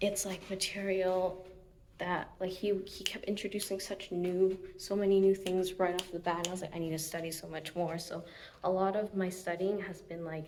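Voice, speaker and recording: Monotone, flat intonation amid audible room echo and noticeable background noise. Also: woman. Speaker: physical therapy grad student vlogger. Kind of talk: casual vlog. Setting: outdoors, walking. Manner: chatty, filler-heavy.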